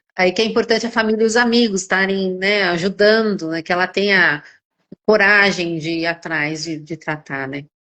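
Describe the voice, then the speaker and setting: Ordinary pitch variation marks a woman speaking at medium pitch and a moderate pace. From São Paulo, Brazil. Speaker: gynecologist. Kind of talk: casual chat. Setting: live stream. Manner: halting, many repetitions.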